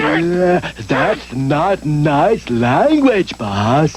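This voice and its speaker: A cartoonish character voice at a middle pitch comes through over clear background noise. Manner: slow, halting, full of uh.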